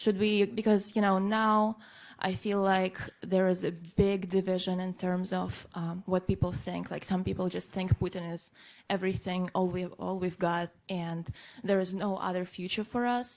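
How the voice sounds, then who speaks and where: Against a quiet background, a woman of medium pitch speaks at a moderate pace with fairly even intonation. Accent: Russian. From Russia, Moscow. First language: Russian. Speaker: audience member asking a question. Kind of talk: audience question. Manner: halting.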